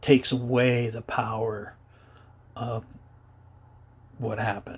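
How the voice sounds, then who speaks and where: A man speaks at a medium pitch, somewhat breathy. His pace is fairly slow and his intonation monotone and flat. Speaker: adult survivor of childhood abuse. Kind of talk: personal testimony to camera. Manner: hesitant, halting.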